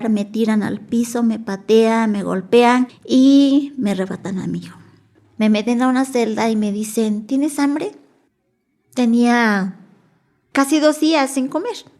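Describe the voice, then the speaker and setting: A woman with a Mexican accent speaks at a fairly slow pace with a fairly high pitch. Her tone is dark and mellow, with ordinary pitch variation. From Mexico, Nahuatl-speaking village. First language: Nahuatl (speaking Spanish). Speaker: Nahuatl interpreter-translator. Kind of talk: testimony.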